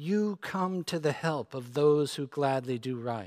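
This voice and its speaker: Over a quiet background, the speech moves at a very slow pace. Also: man. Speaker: preacher. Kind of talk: scripture reading. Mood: solemn, measured. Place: church.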